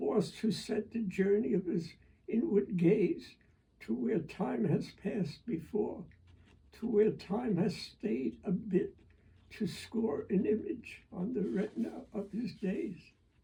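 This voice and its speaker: At a very slow pace, a man speaks in a high pitch with a dark, mellow tone and lively intonation. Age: 80s+. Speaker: poet and retired physician. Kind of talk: poetry reading. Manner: slow, halting.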